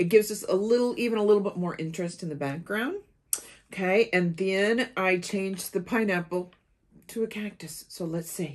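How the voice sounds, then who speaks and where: A woman talks at a moderate pace with ordinary pitch variation. The background is quiet. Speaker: craft channel host. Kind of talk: tutorial. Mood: cheerful, enthusiastic. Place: home room.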